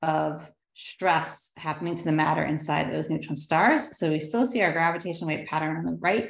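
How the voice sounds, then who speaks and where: A woman with vocal fry and a fairly low pitch speaks with ordinary pitch variation in a room with audible echo. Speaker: astrophysicist. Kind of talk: public lecture. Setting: video call. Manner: fast.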